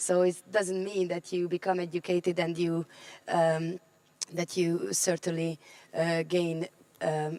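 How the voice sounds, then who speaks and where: A woman talks in a fairly low, monotone voice with flat intonation, at a fairly slow pace with long, frequent pauses. The sound is dry and close with no echo, though there is noticeable background noise. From Roma community in Europe. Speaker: politician. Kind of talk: panel talk.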